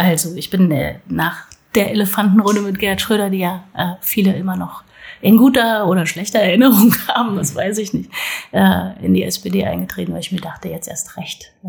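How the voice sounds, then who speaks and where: A woman at a moderate pace, her loudness swinging widely. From northern Hesse, Germany. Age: 40s. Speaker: local politician and parent. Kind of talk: casual interview. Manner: hesitant, many fillers.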